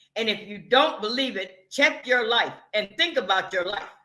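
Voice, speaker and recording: A woman with a fairly high pitch speaks in an animated tone with very wide pitch swings, and audible room echo surrounds her voice. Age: 70s. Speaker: motivational speaker and business coach. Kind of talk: virtual conference speech. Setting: virtual summit online.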